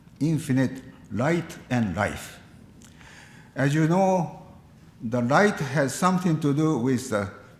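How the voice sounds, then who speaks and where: Speaking at a very slow pace, a man with a Japanese accent has a fairly high pitch and lively intonation. His voice is somewhat breathy, and there is audible room echo. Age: 80s+. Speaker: Buddhist minister. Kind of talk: eulogy at memorial service. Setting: memorial service, live-streamed. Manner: formal.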